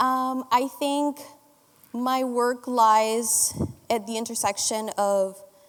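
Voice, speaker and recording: A woman's voice amid noticeable background noise. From Dominican Republic. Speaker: postdoctoral fellow and instructor. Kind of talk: panel discussion.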